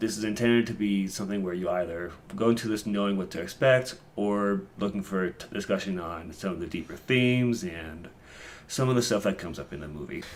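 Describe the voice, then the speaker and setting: In a plain, everyday voice, a man talks at a fairly quick pace with a fairly low pitch and ordinary pitch variation. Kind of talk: casual podcast discussion.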